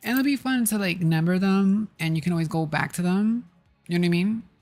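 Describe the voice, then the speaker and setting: The speech goes at a very fast pace. Music plays in the background. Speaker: tarot reader and ASMR channel host. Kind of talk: casual talk to camera, live tarot reading for chat. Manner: soft-spoken, gentle.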